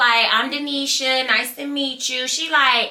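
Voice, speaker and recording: With a Southern US accent, a woman speaks in a raised, projected voice with an animated, bright, sharp tone. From US South, small-town Georgia. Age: 20s. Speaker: YouTuber telling stories. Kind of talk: storytime vlog.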